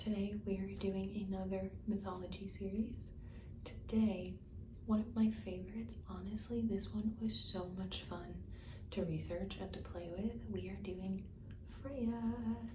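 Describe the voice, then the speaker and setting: Whispering at a fairly slow pace, a soft-spoken woman talks. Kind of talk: ASMR mythology chat. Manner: soft-spoken, whispery, rambling.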